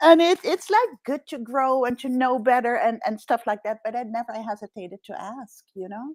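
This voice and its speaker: A woman's high voice in a Dutch accent, lively intonation, big swings in loudness, moderate pace, hardly any pauses, dry, close sound with no echo. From Netherlands. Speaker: executive coach. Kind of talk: interview.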